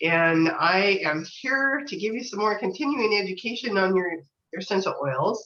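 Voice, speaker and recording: A woman of medium pitch talks at a moderate pace with lively intonation, and audible room echo surrounds her voice. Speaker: essential oil educator. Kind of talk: live stream talk. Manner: casual, halting with fillers.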